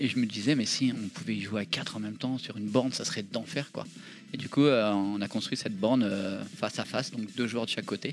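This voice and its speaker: Fairly quick speech from a man at medium pitch with ordinary pitch variation, over noticeable background noise. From France, Seine-et-Marne. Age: 40s. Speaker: arcade association founder. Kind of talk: casual chat.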